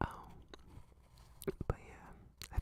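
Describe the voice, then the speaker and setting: A man is whispering. He goes at a moderate pace. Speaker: VTuber streamer. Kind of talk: casual chatting stream. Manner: casual, conversational, laid-back.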